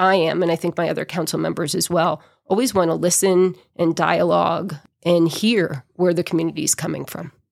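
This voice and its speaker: A woman with an American accent talks at a fairly quick pace, her fairly low voice carrying vocal fry and fairly even intonation. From New England (outside Boston). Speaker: mayor. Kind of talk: casual interview.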